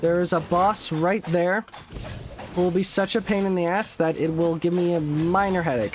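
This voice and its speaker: Over noticeable background noise, a man mumbles at a high pitch and moderate pace, with fairly even intonation and very even loudness. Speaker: gaming streamer. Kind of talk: live gameplay commentary. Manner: mumbling.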